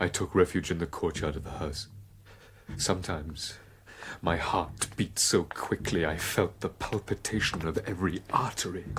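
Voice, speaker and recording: A man puts on a character voice, pitched very deep and low. He keeps a moderate pace over clear background noise. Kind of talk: radio drama performance. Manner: panicked, fearful.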